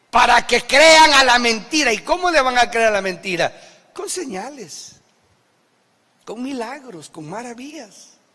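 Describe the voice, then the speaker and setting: A man speaks in a raised, projected voice at an extremely high pitch, with lively intonation, a fairly slow pace and long, frequent pauses. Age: 60s. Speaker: pastor. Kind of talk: sermon. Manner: animated.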